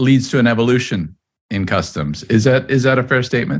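A man talks with lively intonation at a medium pitch, in a normal speaking voice. The recording is very clean, with a silent background. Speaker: podcast host. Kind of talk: interview.

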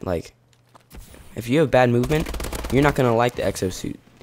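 A man at a medium pitch, with noticeable background noise. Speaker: gaming YouTuber. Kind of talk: casual gaming commentary.

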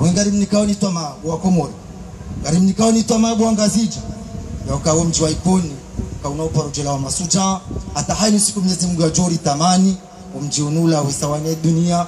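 Light background noise sits behind a man who speaks at a fairly quick pace in a high pitch. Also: ordinary pitch variation. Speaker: speaker. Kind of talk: ceremonial speech. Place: open country. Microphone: handheld.

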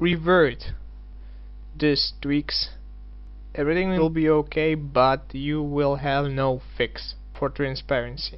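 Music plays behind a man with a non-native accent who speaks at a very slow pace. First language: not English. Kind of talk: game mod tutorial.

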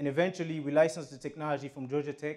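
A man speaks against a quiet background. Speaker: speaker. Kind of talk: talk to an audience. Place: hall. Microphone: lapel.

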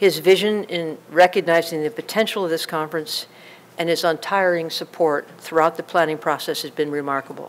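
A woman talks at a fairly quick pace with a fairly low pitch. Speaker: conference host giving opening remarks. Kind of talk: formal opening address. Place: hall.

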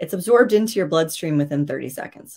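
Here a woman speaks in an American accent with lively intonation. The background is quiet. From New York. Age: 40s. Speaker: nutrition and wellness coach; wellness coach. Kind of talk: virtual masterclass talk. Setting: video call livestream. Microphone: webcam.

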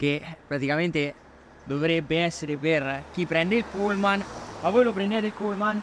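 Light background noise sits behind a man speaking with ordinary pitch variation in a dry sound with no echo. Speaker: vlogger. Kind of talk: casual vlog chat. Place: street. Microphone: phone near.

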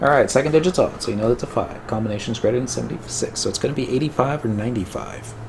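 Audible room echo surrounds a man talking at a very fast pace. His medium-pitched voice has vocal fry and ordinary pitch variation.

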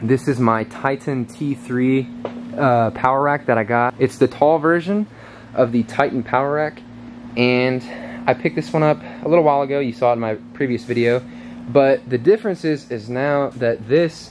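A man speaks at a medium pace, his pitch varying in an ordinary way amid light background noise. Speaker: fitness vlogger. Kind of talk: casual vlog chat. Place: workshop. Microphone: phone near.

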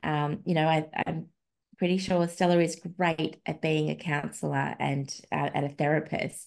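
Over a quiet background, the speaker uses monotone, flat intonation with an Australian accent. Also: woman, very deep, low pitch for a woman, moderate pace. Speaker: podcast host, feminist researcher and blogger; podcast host, blogger. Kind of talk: casual chat. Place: home room. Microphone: video call.

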